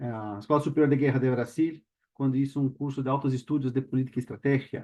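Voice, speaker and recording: A man's very fast, monotone, flat delivery in a Brazilian accent, with a dark, mellow tone and medium pitch. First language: Portuguese (speaking Spanish). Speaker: panel speaker, lawyer and doctoral student. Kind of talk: panel talk. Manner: halting, many fillers.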